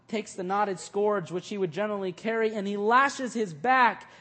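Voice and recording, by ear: Someone is reading aloud in a natural voice.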